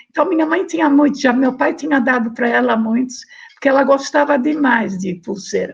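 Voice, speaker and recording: Her pitch is high for a woman. The intonation is lively. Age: 90s. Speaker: interviewee, researcher's mother. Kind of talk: oral history testimony. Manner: halting.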